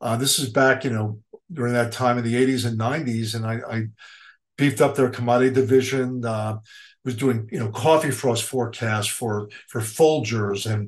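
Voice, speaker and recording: With a New York accent, a man speaks at a moderate pace, a medium pitch and fairly even intonation. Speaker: commodity weather forecaster. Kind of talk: interview.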